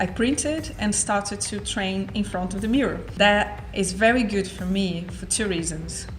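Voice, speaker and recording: Amid noticeable background noise and audible room echo, a woman with a non-native accent speaks at a medium pitch. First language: not English. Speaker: entrepreneur. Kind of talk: vlog monologue.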